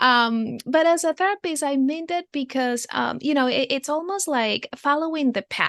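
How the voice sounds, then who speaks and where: With a Spanish accent, a woman speaks at a high pitch and a fairly slow pace with lively intonation and hardly any pauses, in a dry, close sound with no echo against a quiet background. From Venezuela. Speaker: therapist. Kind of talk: podcast interview. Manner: halting, many fillers.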